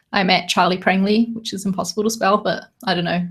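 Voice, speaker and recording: Somewhat breathy and at a medium pitch, a woman speaks at a very fast pace. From New Zealand. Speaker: podcast co-host, designer. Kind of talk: casual chat. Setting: live video stream, in a room together.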